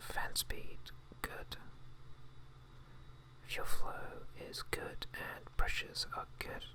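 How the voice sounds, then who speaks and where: Someone whispers in a British accent at a very slow pace. Noticeable background noise is present. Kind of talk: ASMR whisper gameplay narration. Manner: whispered, quiet, relaxing.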